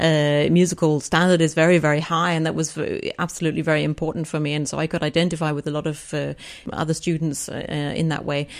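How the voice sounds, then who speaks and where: A woman's very deep, low pitch in a monotone, flat delivery at a very fast pace, on a very clean recording with a silent background. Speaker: composer. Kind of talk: interview. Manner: hesitant, many fillers.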